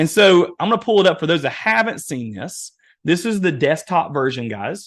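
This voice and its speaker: Speaking with an Eastern Kentucky accent, a man keeps a moderate pace. His voice is high in pitch and swings very widely. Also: quiet background. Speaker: webinar presenter, real estate AI trainer. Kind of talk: webinar workshop demo. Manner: animated.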